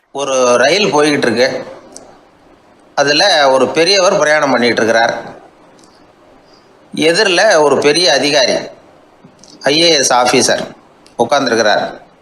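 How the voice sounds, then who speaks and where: Against noticeable background noise, a man talks at a fairly high pitch with ordinary pitch variation and very even loudness. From Tamil Nadu, India. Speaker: radio broadcaster. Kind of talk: anecdotal storytelling talk. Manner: simple colloquial, easy style.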